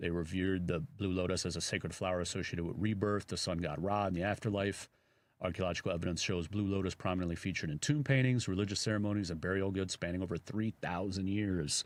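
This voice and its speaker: In a very clean recording with a silent background, a man with a Chicago accent speaks very fast in a very deep, low pitch with fairly even intonation. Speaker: radio host. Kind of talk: casual chat.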